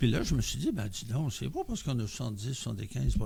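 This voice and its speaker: A man talks with a Quebec accent over noticeable background noise. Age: 70s. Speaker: member of community organization. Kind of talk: podcast interview.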